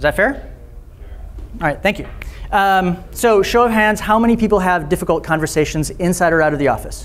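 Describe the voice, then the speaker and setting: A man speaks in a high voice with ordinary pitch variation, and the room echo is audible. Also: fairly quick pace. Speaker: conference speaker, trainer. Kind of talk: conference talk. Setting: stage with audience. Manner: fast; halting, many fillers.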